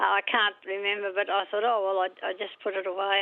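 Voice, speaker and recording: Talking at a very fast pace, a woman speaks with an Australian accent. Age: 80s+. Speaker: caller. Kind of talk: radio call-in.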